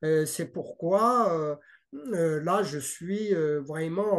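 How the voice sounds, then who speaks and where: A man with a slight non-native accent and a high pitch, very slow pace, ordinary pitch variation, quiet background. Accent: slight foreign. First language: not French (speaking French). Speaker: parent in dispute with child welfare services. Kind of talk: interview. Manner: halting, many hesitations and repetitions.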